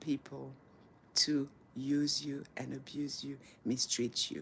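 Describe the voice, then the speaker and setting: A woman's very deep, low voice with vocal fry and fairly even intonation. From Senegal. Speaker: motivational speaker. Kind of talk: casual live chat to camera. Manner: warm, encouraging.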